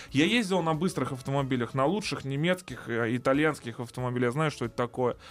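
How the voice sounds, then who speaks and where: Very fast delivery with hardly any pauses and ordinary pitch variation. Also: man, fairly high pitch for a man. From Russia. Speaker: car video blogger. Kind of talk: casual chat.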